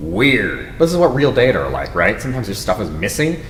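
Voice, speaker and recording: Amid noticeable background noise and audible room echo, a man of medium pitch speaks fairly quickly with very wide pitch swings. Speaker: university instructor. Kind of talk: workshop lecture. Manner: fast.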